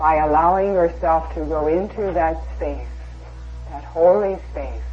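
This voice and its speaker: A woman speaks at a fairly slow pace. There is noticeable background noise behind her. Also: big swings in loudness. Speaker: channeled spiritual guide / meditation guide. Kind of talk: guided meditation. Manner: slow, calm, soothing.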